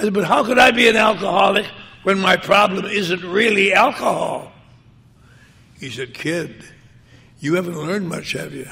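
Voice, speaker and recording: A man's raised, projected voice with lively intonation at a moderate pace. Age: 80s+. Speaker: recovering alcoholic speaker. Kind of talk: personal recovery talk to an audience.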